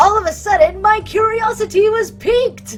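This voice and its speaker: Putting on a squeaky character voice, a woman speaks at a moderate pace while music plays clearly in the background. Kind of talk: hard-boiled voice-over. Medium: solo performance. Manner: dry, sardonic.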